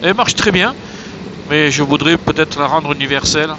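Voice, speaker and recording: Noticeable background noise accompanies a man speaking at a moderate pace with a fairly high pitch. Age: 60s. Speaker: motorcycle traveller vlogger. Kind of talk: travel vlog. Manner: hesitant, many filler sounds.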